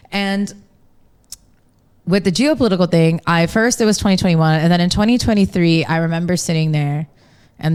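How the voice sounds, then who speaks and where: A woman with an American accent and an unremarkable speaking voice talks fairly quickly at a fairly low pitch with ordinary pitch variation. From US East Coast, Maryland. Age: 30s. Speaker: journalist and radio presenter. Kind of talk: podcast interview.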